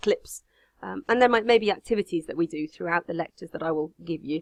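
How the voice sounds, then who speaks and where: Against a quiet background, a woman talks very fast at a fairly low pitch with ordinary pitch variation, the sound dry and close with no echo. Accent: English Midlands. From English Midlands. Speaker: university lecturer. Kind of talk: recorded online lecture.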